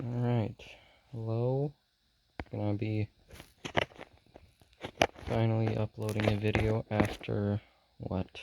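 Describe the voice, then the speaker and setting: Speaking at a very slow pace, a man with a dark, mellow tone keeps a monotone, flat intonation and takes long, frequent pauses. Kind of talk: casual talk to camera, reaction video.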